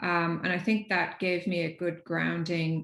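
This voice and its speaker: In an Irish accent, a woman talks at a fairly slow pace in a fairly low, monotone, flat voice against a quiet background. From Ireland. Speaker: technology executive. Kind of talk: panel discussion. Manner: halting.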